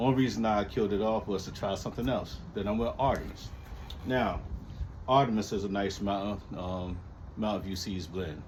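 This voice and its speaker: With audible room echo around him, a man speaks at a moderate pace in a fairly low pitch with ordinary pitch variation. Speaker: lawn care hobbyist vlogger. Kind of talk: casual chat. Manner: halting, many fillers.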